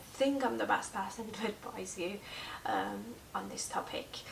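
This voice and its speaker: Audible room echo plus noticeable noise in the background. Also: woman. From Persian background, raised bilingual. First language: Persian (bilingual with English). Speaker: language teacher and vlogger. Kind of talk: tutorial. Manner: halting, many fillers; casual.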